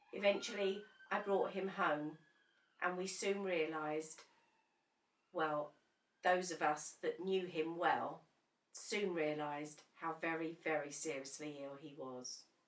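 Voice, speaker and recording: Speaking with an English accent, a woman with a fairly low voice goes at a fairly slow pace, leaving long, frequent pauses. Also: fairly even intonation. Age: 60s. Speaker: bereaved partner. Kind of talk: personal testimony.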